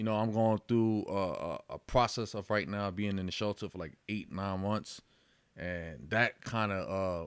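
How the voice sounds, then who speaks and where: A man with a normal speaking voice talks at a fairly slow pace in a fairly low pitch and fairly even intonation. The recording is very clean, with a silent background. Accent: American. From Yonkers, New York. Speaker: boxer and mental health advocate. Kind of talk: casual chat.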